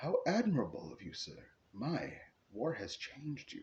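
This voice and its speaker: Putting on a character voice, a man speaks at a fairly high pitch and a moderate pace. His loudness swings a great deal. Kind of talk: formal, polite. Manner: deferential.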